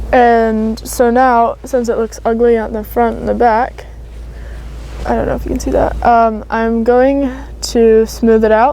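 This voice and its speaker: Fairly slow female speech over noticeable background noise. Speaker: DIY tutorial youtuber. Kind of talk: tutorial. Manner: casual, chatty.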